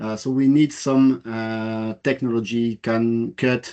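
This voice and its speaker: In a French accent, a man speaks very slowly with a dark, mellow tone. His medium pitch follows a fairly even intonation. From France. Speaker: engineer presenting a project. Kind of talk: webinar presentation. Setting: online webinar. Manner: halting, many fillers.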